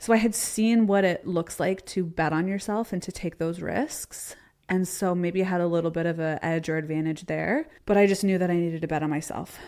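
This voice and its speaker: Speaking in a Canadian accent, a woman has a fairly low pitch and a dark, mellow tone, with fairly even intonation. Her pace is fairly quick with hardly any pauses, and the recording is very clean with a silent background. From Canada (Ontario). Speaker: entrepreneur and former athlete. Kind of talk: interview conversation. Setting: live show.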